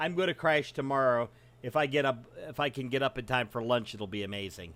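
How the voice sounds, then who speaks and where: Over a silent background in a very clean recording, a man with a plain, everyday voice talks at a fairly quick pace and medium pitch. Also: ordinary pitch variation. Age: 40s. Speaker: streamer and podcast host. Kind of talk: casual chat.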